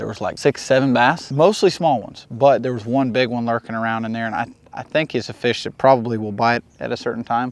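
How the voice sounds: A man speaks at a fairly quick pace, his pitch medium with ordinary variation. Vocal fry runs through his voice.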